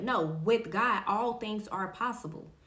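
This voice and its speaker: A woman talks at medium pitch and a moderate pace. Audible room echo surrounds her voice. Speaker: faith podcast host. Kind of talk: motivational faith talk. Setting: recording in front of a camera.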